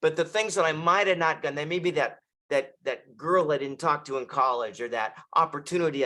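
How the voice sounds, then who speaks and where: A man talks at a fairly quick pace in a fairly high pitch. His tone is bright and sharp. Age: 60s. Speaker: author, bodybuilder and coach. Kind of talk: interview conversation.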